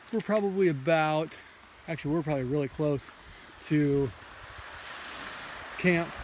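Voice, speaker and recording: Speech at a moderate pace, broken by long, frequent pauses, comes through noticeable background noise. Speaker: hiker on a backpacking trip. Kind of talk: casual vlog narration. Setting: outdoors on a hiking trail. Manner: casual, hesitant with fillers.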